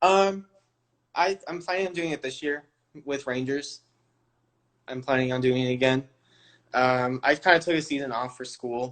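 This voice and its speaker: With an American accent, a man speaks at a moderate pace and a fairly high pitch, with ordinary pitch variation. He leaves long, frequent pauses. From California. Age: 20s. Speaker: all-star cheerleader. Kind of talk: interview answers. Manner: casual, filler-heavy.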